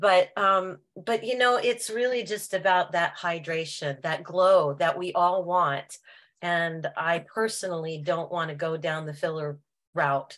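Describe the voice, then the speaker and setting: At a fairly slow pace, a woman talks in a plain, everyday voice, fairly low in pitch with ordinary pitch variation. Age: 60s. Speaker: product user giving testimony. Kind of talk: testimony.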